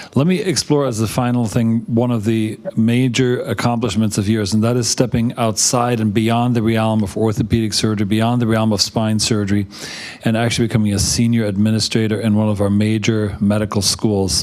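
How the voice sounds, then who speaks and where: A man at a fairly quick pace with fairly even intonation, with noticeable background noise. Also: medium pitch for a man, hardly any pauses, very even loudness. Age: 60s. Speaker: surgeon interviewer. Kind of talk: interview.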